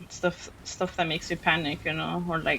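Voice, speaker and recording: At a fairly slow pace, a woman talks in a fairly low pitch. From Mexican heritage. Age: adult. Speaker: vtuber streamer. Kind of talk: casual gaming livestream chat. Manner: keeps an indoor voice, not loud.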